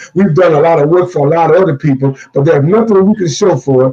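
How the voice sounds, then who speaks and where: This man talks at a fairly quick pace with a fairly high pitch and ordinary pitch variation. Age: 60s. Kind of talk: fundraising appeal. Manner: animated.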